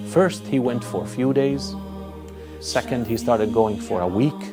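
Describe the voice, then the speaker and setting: Music plays in the background as a man with a fairly low pitch speaks at a fairly slow pace with lively intonation. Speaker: imam, Islamic scholar. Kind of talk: religious lecture, narrating a story to camera.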